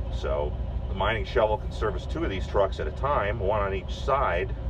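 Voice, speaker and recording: At a fairly slow pace, a man speaks through noticeable background noise. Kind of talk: commentary. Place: farm machine. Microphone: phone near.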